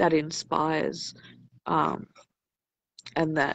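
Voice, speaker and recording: A woman speaks with a very deep, low pitch and vocal fry. Her pace is very slow. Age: 50s. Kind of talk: casual chat.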